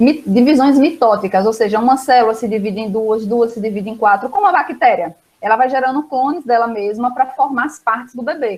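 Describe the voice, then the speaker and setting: Talking at a fairly quick pace with hardly any pauses, a woman speaks with a high pitch. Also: ordinary pitch variation. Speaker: biology teacher. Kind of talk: online lesson. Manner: fast.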